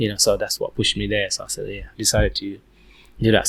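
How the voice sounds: A man talks at a fairly quick pace with little pitch movement.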